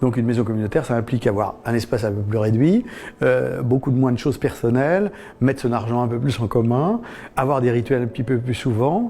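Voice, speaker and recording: A man talks at a medium pitch in a dark, mellow tone. His pace is fairly quick, with ordinary pitch variation. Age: 60s. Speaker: former cult member. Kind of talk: testimony. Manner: halting.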